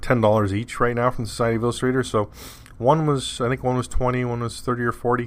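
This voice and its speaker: Mumbling at a very fast pace, a man with a Canadian accent speaks at a medium pitch. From Canada. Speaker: podcast host. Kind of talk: casual monologue.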